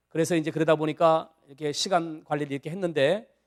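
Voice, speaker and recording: Talking at a fairly quick pace, a man speaks with fairly high pitch. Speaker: church bible class teacher. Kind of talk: lecture. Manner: fast.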